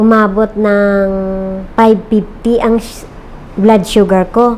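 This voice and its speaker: The speech comes at a very slow pace in a monotone, flat intonation. Noticeable background noise is present. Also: woman. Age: 50s. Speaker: customer giving product testimonial. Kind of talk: testimony. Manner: halting, many fillers.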